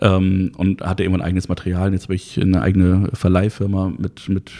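Fairly even intonation in a man's very deep, low voice, dark and mellow in tone. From Hamburg-Harburg, northern Germany. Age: 30s. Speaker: event technician and industry association founder. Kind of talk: interview. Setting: studio.

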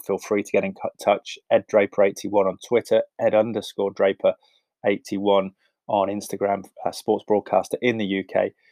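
A man with an English accent talks at a fairly quick pace, his sound dry and close with no echo against a quiet background. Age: 30s. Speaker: podcast host, sports broadcaster. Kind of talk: casual interview chat. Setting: home, spare room.

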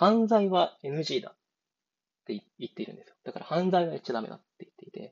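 Here a man speaks in a high pitch at a fairly quick pace. His intonation is lively, and his loudness swings widely. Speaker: podcast host. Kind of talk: solo podcast monologue, casual. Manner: halting, filler-heavy, rambling.

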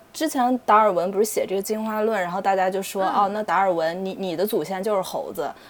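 Speaking very fast with hardly any pauses, a woman with a strong Taiyuan accent talks at a medium pitch. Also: ordinary pitch variation. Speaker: podcast co-host. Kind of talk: casual chat.

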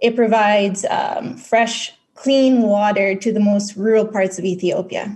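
A woman talks at a fairly slow pace with hardly any pauses. Her fairly high voice is somewhat breathy, with fairly even intonation. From Philippines. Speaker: stake pool operator, video producer. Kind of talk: interview. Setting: phone call.

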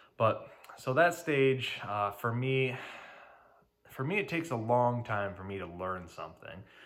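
With an American accent, a man uses an ordinary speaking voice at a medium pitch, moderate in pace and lively in intonation. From Detroit, Michigan. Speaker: electrical contractor and podcast host. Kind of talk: casual solo talk. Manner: filler-heavy, conversational.

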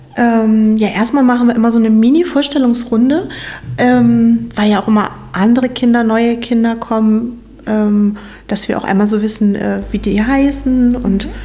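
Noticeable background noise and audible room echo surround a woman speaking fairly high at a moderate pace with fairly even intonation. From northern Germany, near Hamburg. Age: 40s. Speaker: optician and children's church volunteer. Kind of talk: casual interview chat. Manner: hesitant, many fillers.

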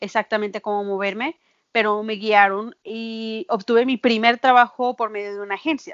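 Fairly high in pitch, a woman talks at a fairly slow pace with fairly even intonation in a normal speaking voice. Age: 30s. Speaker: nanny. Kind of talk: interview.

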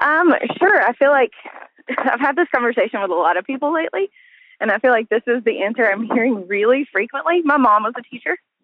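The speaker talks at a very fast pace with lively intonation, in a Southern US accent. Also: woman, high pitch for a woman. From US South, Arkansas. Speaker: teacher. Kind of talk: interview. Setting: phone call.

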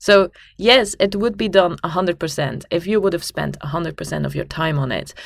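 A woman with a fairly low pitch and vocal fry talks at a fairly slow pace, with ordinary pitch variation. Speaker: podcast co-host. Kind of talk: casual chat. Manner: hesitant, many fillers.

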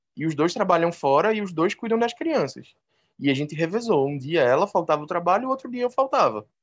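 A man with a Recife accent, high-pitched, his pitch swinging very widely over a quiet background. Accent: Recife accent, noticeable. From Recife, northeastern Brazil. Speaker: biology teacher and animal-assisted therapist. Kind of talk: casual interview.

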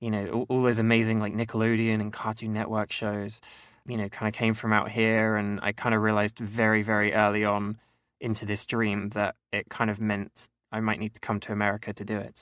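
A man's fairly low, monotone voice with flat intonation at a fairly quick pace, in a dry, close sound with no echo on a very clean recording with a silent background. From eastern England, Cambridgeshire. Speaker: voice actor. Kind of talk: casual interview. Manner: casual, filler-heavy.

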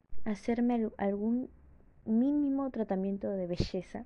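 A woman speaks at a fairly slow pace. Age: 20s. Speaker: podcaster. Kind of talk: casual monologue. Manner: halting.

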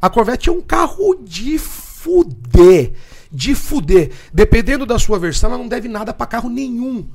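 A man speaks fairly slowly at an extremely high pitch. His pitch swings very widely and his loudness shifts a lot. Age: 40s. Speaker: muscle car workshop owner. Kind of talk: casual chat.

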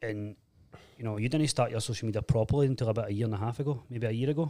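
A man with a Glaswegian accent, a dark, mellow tone and fairly even intonation, at a very fast pace, in a very clean recording with a silent background. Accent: Glaswegian Scottish. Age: 30s. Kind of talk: casual chat. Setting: studio.

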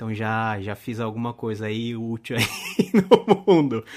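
A man uses a normal speaking voice, medium in pitch with ordinary variation, on a very clean recording with a silent background. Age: 30s. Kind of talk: casual interview.

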